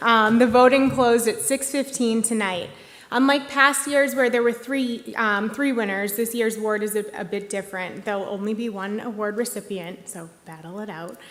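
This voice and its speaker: Amid audible room echo, a woman with a fairly high pitch and ordinary pitch variation talks at a moderate pace with hardly any pauses. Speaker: executive director of a tech industry group, award presenter. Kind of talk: award ceremony presentation. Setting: stage at live-broadcast museum event. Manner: hesitant, many fillers.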